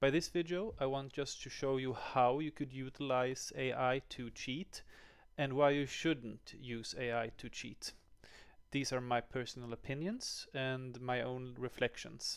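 Fairly even in intonation, the voice moves at a fairly slow pace against a quiet background. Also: man. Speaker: educator. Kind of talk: tutorial. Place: home room. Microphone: headset.

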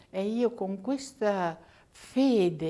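Her pitch swings very widely as the woman talks. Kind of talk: interview testimony; interview answer. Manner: halting, repetitive. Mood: warm, reverent remembrance. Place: church. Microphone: lapel.

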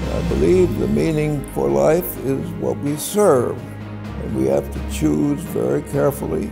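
Over clear background music, a man talks fairly slowly with ordinary pitch variation. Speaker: inventor and scientist. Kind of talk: interview answer. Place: office.

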